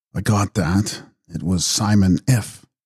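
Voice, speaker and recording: A man whispers in a raspy, put-on character voice at a fairly slow pace. The sound is dry and close, with no echo. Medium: read story. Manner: humble, whispering.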